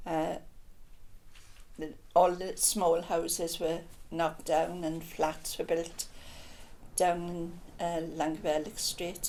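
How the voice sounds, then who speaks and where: Speaking at a very slow pace with long, frequent pauses, a woman has a dark, mellow tone and a fairly low pitch. Her intonation stays monotone and flat, and the room adds an audible echo. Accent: Welsh. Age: 80s+. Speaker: local resident. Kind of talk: casual chat.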